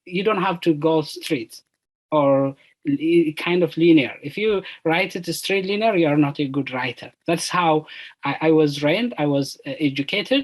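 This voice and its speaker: The speaker has an Ethiopian accent. The pace is moderate. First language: Amharic. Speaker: PhD student, panelist. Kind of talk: panel discussion. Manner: halting.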